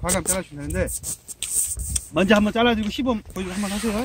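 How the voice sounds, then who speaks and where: A man speaks over noticeable background noise. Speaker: blueberry pruning instructor. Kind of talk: hands-on demonstration. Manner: fast.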